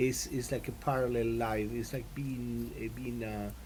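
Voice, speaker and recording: The man speaks at a moderate pace. His voice carries an audible echo from the room. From Latin America. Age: 60s. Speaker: composer and guitarist. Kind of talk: interview. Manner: halting, many fillers.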